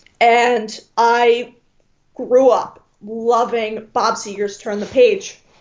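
Delivered at a very slow pace in a Michigan accent, the speech has monotone, flat intonation. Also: woman, fairly high pitch for a woman. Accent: US Midwest (Michigan). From Detroit, Michigan. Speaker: music fan. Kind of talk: casual chat.

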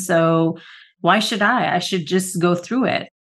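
A woman speaks at a moderate pace and medium pitch in a plain, everyday voice. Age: 50s. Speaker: podcast co-host. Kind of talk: casual chat.

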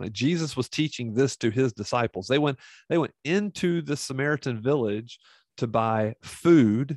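Against a quiet background, a man with a normal speaking voice and medium pitch talks with lively intonation in a dry, close sound with no echo. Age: 50s. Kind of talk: monologue podcast teaching. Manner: casual, with many fillers.

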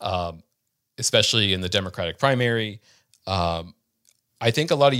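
A man in an ordinary speaking voice, fairly low-pitched, at a moderate pace, on a very clean recording with a silent background. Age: 30s. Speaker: journalist. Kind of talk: interview.

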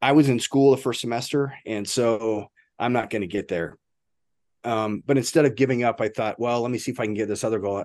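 A plain, everyday voice at a fairly quick pace, with fairly even intonation over a quiet background. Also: man, medium pitch for a man. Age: 50s. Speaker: ultra runner and first responder. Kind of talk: casual interview chat.

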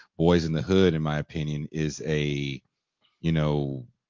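This man talks at a fairly slow pace in a very deep, low voice. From Richmond, California. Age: 40s. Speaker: podcast host. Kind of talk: interview.

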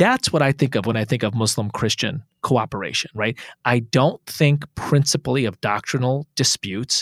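There are hardly any pauses as a man speaks at a moderate pace with ordinary pitch variation. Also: medium pitch for a man, dry, close sound with no echo. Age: 40s. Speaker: interfaith organization founder. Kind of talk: casual chat.

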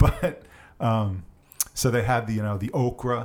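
A medium-pitched man with a New York accent. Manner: casual, conversational storyteller.

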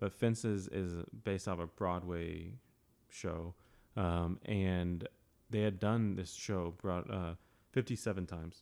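A man speaks in a very deep, low voice at a very slow pace. His intonation is fairly even. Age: 30s. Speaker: author and ministry leader. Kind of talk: casual chat. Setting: podcast interview.

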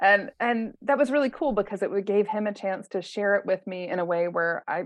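A woman talks in an unremarkable speaking voice at medium pitch. Her pace is fairly quick, with ordinary pitch variation. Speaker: life coach. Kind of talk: casual chat.

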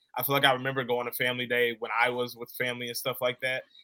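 A man's bright, sharp voice with an American accent at a very fast pace. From Chicago south suburbs. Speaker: radio producer and stadium host. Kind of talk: interview.

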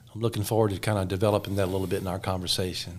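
A man is talking. His speech carries an American accent. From US South, south Alabama. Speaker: pastor. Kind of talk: testimony.

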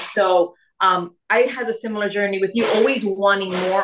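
A woman speaks at a moderate pace and medium pitch with fairly even intonation. Hers is a plain, everyday voice. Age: 40s. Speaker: weight loss coach. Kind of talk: casual chat.

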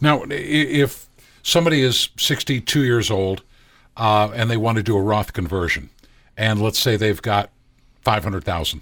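This man has an unremarkable speaking voice, with lively intonation at a moderate pace. The recording is very clean, with a silent background. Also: medium pitch for a man. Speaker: co-host, lay person asking questions. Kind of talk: casual banter with interview. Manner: joking, playful.

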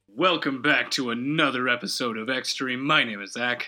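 A man's raspy, put-on character voice at a medium pitch, delivered at a moderate pace. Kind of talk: podcast intro. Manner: calm, quiet tone.

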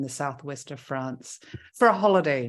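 Over a quiet background, a woman with an Australian accent speaks at a moderate pace with lively intonation. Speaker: intuitive coach. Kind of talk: casual interview.

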